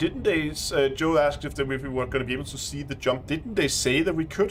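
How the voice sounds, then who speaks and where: With a strong Danish accent, a man speaks at a very fast pace in a fairly high pitch with lively intonation while music plays in the background. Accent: thick Danish. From Denmark. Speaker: gaming streamer. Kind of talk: live stream commentary. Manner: halting.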